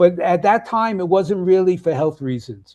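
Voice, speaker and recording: Speaking with a New York accent against a quiet background, a man talks at a moderate pace in a high, dark and mellow voice with ordinary pitch variation. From US Northeast, Brooklyn, New York. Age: 80s+. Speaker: health and nutrition coach. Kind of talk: interview. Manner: halting, many fillers.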